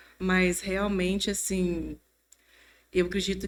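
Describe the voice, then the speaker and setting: Medium pitch from a woman, monotone and flat, on a very clean recording with a silent background. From Brazil, Mantena (Minas Gerais). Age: 50s. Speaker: church member sharing testimony. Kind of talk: testimony.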